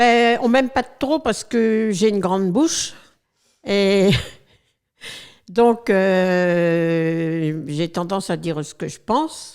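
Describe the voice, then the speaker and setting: Very slowly, a woman speaks at a medium pitch with lively intonation, big swings in loudness and long, frequent pauses. The recording is very clean with a silent background. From northern France, Abbeville (Picardy). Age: 70s. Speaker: retired charity volunteer. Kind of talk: interview testimony. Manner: hesitant, many fillers.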